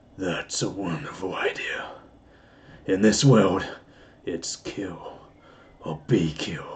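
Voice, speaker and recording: With long, frequent pauses, a man speaks at a very slow pace in a put-on character voice pitched fairly low. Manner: menacing, evil.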